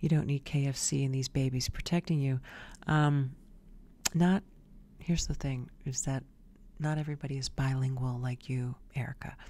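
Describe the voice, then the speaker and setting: Her voice is very deep and low for a woman, dark and mellow in tone, with fairly even intonation, a moderate pace and long, frequent pauses. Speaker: video show host. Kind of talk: opinion monologue, scornful commentary. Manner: pointed, scolding tone, directly addressing targets. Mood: sassy, opinionated. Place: home room. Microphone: studio mic.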